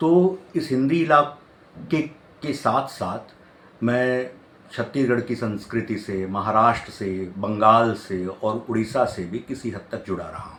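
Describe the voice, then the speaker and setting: A man's voice sits at a medium pitch. The intonation rises and falls in a lively way. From Chhattisgarh, India (Bhilai). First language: Odia (speaking Hindi). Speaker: professor and poet. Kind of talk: interview monologue. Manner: hesitant with fillers.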